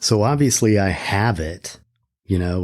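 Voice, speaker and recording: A man with a very deep, low voice speaks at a very slow pace. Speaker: podcast host. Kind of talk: podcast monologue. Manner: reflective, hesitant.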